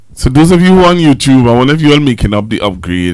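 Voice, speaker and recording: A loud man with very wide pitch swings. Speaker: pastor hosting a live stream. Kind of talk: live stream chat with viewers. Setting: live stream.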